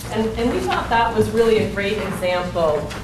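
A woman talks at a fairly slow pace while noticeable background noise carries on. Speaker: architectural designer. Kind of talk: public meeting presentation. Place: meeting room. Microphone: camera far.

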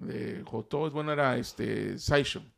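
With a quiet background, a man's voice sits fairly high in pitch. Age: 40s. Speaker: Star Wars toy collector and YouTuber; YouTuber. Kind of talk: casual chat. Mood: relaxed, animated storytelling. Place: studio. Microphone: studio mic.

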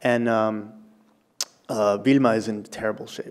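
Monotone and flat in intonation, a man speaks. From Peru. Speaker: journalist and radio producer; journalist, radio producer. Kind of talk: live storytelling and Q&A. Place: hall. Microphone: podium.

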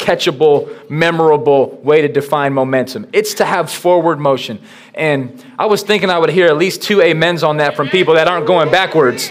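At a moderate pace, a man speaks with hardly any pauses and ordinary pitch variation. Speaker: pastor. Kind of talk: sermon. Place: church.

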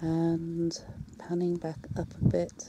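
The background holds light background noise, and the sound is dry with no echo. A woman speaks at a fairly low pitch. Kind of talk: casual guided commentary. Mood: calm, appreciative. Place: open country. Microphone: phone near.

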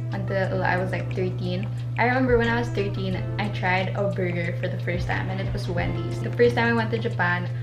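This woman talks at a fairly quick pace. There is noticeable background noise. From Manila, Philippines. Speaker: vlogger. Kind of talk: casual talk to camera. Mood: cheerful, relaxed. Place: home room.

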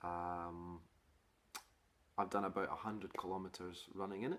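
Speaking fairly slowly, a man delivers his words.

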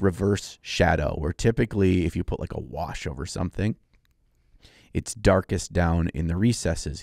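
A man talks at a moderate pace with lively intonation. The sound is dry with no echo, over a quiet background. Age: 40s. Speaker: miniature painting podcast co-host and YouTuber. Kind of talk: casual chat. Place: studio. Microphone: studio mic.

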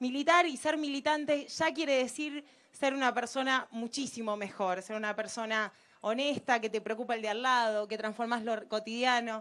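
At a moderate pace, a woman speaks high in pitch with ordinary pitch variation. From Argentina, Rosario; Argentina. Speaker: economist and political activist; speaker. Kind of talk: political rally speech. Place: waterside. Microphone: handheld.

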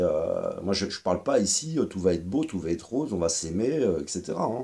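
There is a quiet background behind this man. He speaks fairly slowly in a fairly low pitch, with a dark, mellow tone. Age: 40s. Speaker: YouTuber commentator. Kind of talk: monologue video commentary. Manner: halting, many fillers and repetitions. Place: home room. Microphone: webcam.

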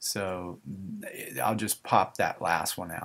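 Fairly even in intonation, the man's voice has a bright, sharp tone. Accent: slight Southern US. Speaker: gaming video creator. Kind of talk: gameplay commentary. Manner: hesitant, many fillers.

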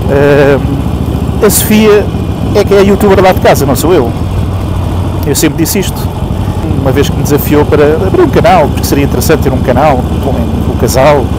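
There is loud background noise behind a man talking at a fairly quick pace. His voice has a dry sound with no echo. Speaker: motorcycle vlogger. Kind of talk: casual vlog chat. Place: motorbike. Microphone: helmet.

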